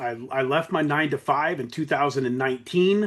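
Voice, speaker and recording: Against a quiet background, a man with a normal speaking voice talks at a fairly high pitch with ordinary pitch variation. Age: 50s. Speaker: network marketing and crypto educator. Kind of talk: training talk.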